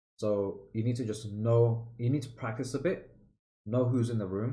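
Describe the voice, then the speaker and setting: A man's dark, mellow voice of medium pitch, at a moderate pace with ordinary pitch variation and audible room echo. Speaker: public speaking mentor. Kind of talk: tutorial. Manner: loud; casual, filler-heavy.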